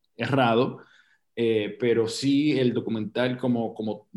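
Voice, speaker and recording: This man talks at a fairly slow pace in a normal speaking voice, with medium pitch and fairly even intonation. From Puerto Rico, Loíza. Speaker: actor and producer. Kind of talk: casual chat.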